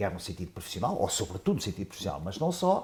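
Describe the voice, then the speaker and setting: The voice has a dark, mellow, somewhat breathy tone and very wide pitch swings. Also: man. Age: 70s. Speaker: professor, economist. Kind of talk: panel discussion. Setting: round table with audience. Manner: halting, many fillers.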